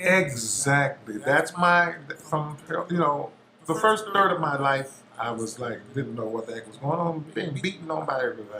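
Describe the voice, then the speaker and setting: With big swings in loudness and lively intonation, a man speaks at a moderate pace and fairly high pitch. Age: 60s. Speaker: musician, interview guest. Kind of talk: casual interview chat.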